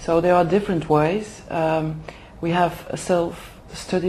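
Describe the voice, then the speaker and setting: Noticeable background noise and audible room echo surround this recording. A woman speaks at a fairly low pitch and a fairly slow pace with monotone, flat intonation. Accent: Flemish. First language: Dutch. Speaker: HR manager for executive development. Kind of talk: interview. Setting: language school in Oxford. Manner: halting, many fillers.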